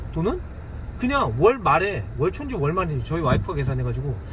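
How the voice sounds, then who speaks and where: An animated man amid audible room echo and noticeable background noise. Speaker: online seller and YouTuber. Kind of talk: casual tutorial monologue. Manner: fast.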